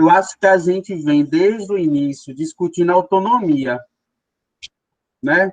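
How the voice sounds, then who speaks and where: A man's high-pitched voice with ordinary pitch variation, a fairly slow pace, and long, frequent pauses, in a dry, close sound with no echo. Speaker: education program team member. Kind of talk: work meeting discussion.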